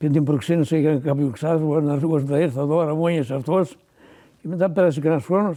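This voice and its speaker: Fairly quick and fairly high in pitch, a man talks with a dark, mellow tone, fairly even intonation and very even loudness. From Greece, Sarakatsani nomadic herders. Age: 80s+. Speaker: retired shepherd. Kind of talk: oral history interview answer.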